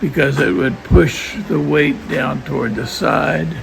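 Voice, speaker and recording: Over noticeable background noise and audible room echo, a man with a medium pitch talks at a very slow pace with very wide pitch swings. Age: 80s+. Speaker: travel vlogger. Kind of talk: casual travel vlog narration. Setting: outdoors.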